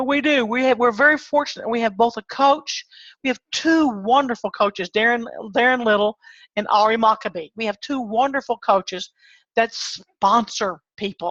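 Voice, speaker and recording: This woman has an ordinary speaking voice, fairly high in pitch with ordinary variation. The background is quiet. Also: moderate pace, dry, close sound with no echo. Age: 60s. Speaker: online marketer and pest control business owner. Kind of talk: webinar presentation.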